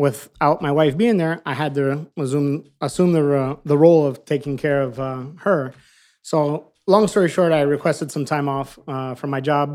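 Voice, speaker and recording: With an American accent and an ordinary speaking voice, a man talks at a fairly high pitch and fairly slow pace with fairly even intonation on a very clean recording with a silent background. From Miami, Florida. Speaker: food truck owner. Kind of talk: casual chat.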